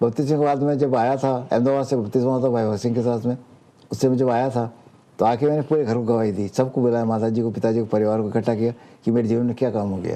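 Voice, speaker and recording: A man's medium-pitched voice has a dark, mellow tone and fairly even intonation. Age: 70s. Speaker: preacher. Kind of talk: testimony.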